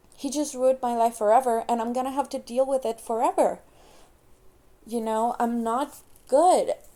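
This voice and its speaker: A high-pitched woman with a non-native accent and a dark, mellow tone, moderate pace, fairly even intonation, long and frequent pauses. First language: not English. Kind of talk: casual personal talk to camera. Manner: hesitant.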